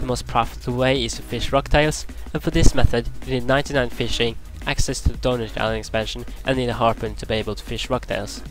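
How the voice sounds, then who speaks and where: Music plays in the background as a man speaks at a very fast pace. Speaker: gamer. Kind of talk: game tutorial commentary.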